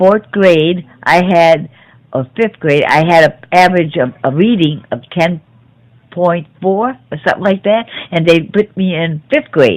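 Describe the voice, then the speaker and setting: A woman's fairly low voice with a Chicago accent, at a fairly slow pace and with ordinary pitch variation. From US Midwest, South Chicago. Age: 70s. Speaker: grandmother interviewed by grandchild. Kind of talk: family oral history interview. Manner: halting.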